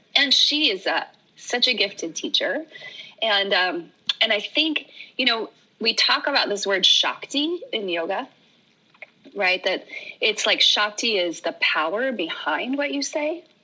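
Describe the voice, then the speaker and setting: Pausing long and often, a woman with an American accent speaks fairly slowly in a high voice with very wide pitch swings against noticeable background noise. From Oregon. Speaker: yoga teacher. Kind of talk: casual chat.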